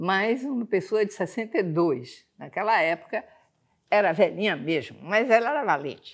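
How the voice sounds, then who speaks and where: Her medium-pitched voice moves through very wide pitch swings, and the woman is recorded very cleanly over a silent background. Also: moderate pace. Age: 80s+. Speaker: history teacher. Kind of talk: lecture. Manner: conversational.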